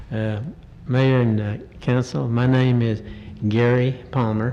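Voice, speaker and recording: The speech comes at a very slow pace in a Southern US accent, with long, frequent pauses and fairly even intonation. Audible room echo and noticeable background noise fill the recording. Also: man. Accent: Southern US (Georgia). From US South, Cartersville, Georgia. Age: 70s. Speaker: resident making public comment. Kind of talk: public comment at council meeting. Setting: council chamber at microphone. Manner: halting.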